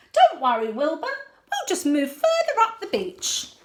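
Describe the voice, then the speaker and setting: Putting on a squeaky character voice, a woman pitches it extremely high with very wide pitch swings. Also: moderate pace. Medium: read story.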